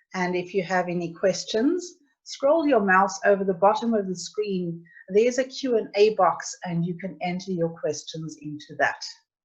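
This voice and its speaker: A woman's somewhat breathy, medium-pitched voice in a South African accent, with lively intonation and a moderate pace. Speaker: travel agent. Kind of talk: webinar presentation. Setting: online webinar.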